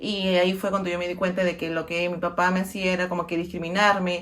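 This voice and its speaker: A woman speaks fairly quickly in a fairly low voice with monotone, flat intonation. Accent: Peruvian. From Peru, Lima. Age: 30s. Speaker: interviewee sharing personal experience. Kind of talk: personal testimony. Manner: halting, many fillers.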